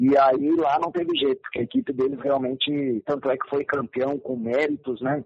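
This man has an ordinary speaking voice with a fairly high pitch. He speaks at a moderate pace with fairly even intonation. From Rio Grande do Sul, Brazil (Camaquã). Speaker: retired football player and coach. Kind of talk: interview. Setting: phone call.

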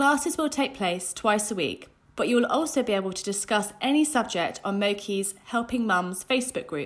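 With a normal speaking voice, a woman talks at a moderate pace and a fairly high pitch with lively intonation. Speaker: announcer. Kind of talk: scripted intro and outro.

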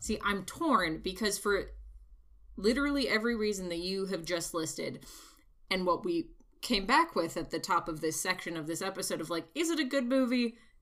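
In an ordinary speaking voice, a woman talks at medium pitch and a moderate pace with lively intonation. The recording is very clean with a silent background. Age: 30s. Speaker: podcast co-host and stage actor. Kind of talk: casual chat.

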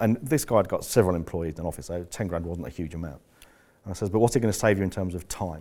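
A man's very deep, low voice, dark and mellow in tone, with lively intonation at a very fast pace. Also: very clean recording, silent background. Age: 50s. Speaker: business coach. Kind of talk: live seminar talk. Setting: stage with audience. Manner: halting.

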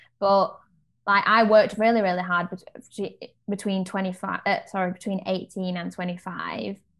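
The speaker has a British accent and moves at a moderate pace. The intonation is monotone and flat. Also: woman, medium pitch for a woman. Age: 20s. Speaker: podcast co-host. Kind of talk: casual chat.

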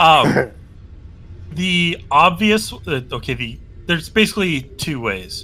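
A man's fairly high voice, very slow and full of long, frequent pauses, with very wide pitch swings and vocal fry. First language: not English. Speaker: game master of a tabletop roleplaying game. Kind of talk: tabletop game narration. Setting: voice chat.

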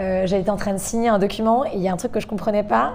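A woman speaks over noticeable background noise. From England and Canada. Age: 20s. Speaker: restaurant owner. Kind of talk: interview. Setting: at her restaurant.

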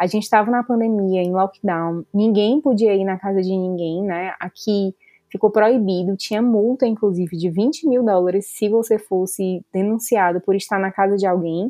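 With hardly any pauses, a plain, everyday voice keeps a moderate speed and shifts pitch in an ordinary way. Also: woman, medium pitch for a woman. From Brazil, Fortaleza (Ceará). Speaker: veterinarian and new mother. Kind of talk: interview testimony.

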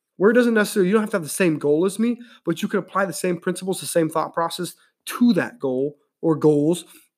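On a very clean recording with a silent background, a man with an American accent speaks very fast in a high pitch, his tone animated and his pitch variation ordinary. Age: 30s. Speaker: podcast host. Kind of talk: pep talk. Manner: animated, punchy motivational tone, repeated words for emphasis, direct calls to action.

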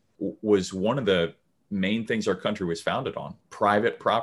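In a plain, everyday voice, a man with an American accent talks at a moderate pace with fairly low pitch and ordinary pitch variation, recorded very cleanly against a silent background. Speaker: podcast co-host. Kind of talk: casual chat.

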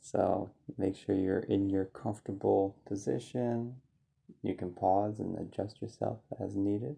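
A calm, soothing, dark, mellow tone, somewhat breathy, with ordinary pitch variation at a fairly slow pace. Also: man, fairly low pitch for a man. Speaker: meditation guide. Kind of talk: guided meditation. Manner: slow, calm and soothing, with gentle pauses; soft-spoken and inviting.

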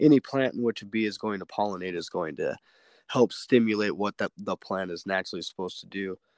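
A man with an American accent has a plain, everyday voice, fairly low in pitch with ordinary variation. The sound is dry and close with no echo, in a very clean recording with a silent background. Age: 20s. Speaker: beekeeper and MMA fighter. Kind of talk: casual interview. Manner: fast, run-on, repetitive.

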